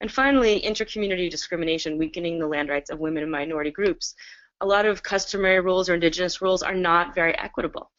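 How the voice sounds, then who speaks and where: At a very fast pace, a woman talks at medium pitch with ordinary pitch variation. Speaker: webinar presenter, land rights practitioner. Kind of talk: webinar presentation. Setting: video call from home.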